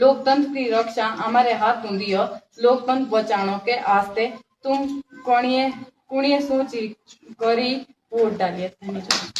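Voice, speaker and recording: This woman has a high pitch and ordinary pitch variation. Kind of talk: poetry reading.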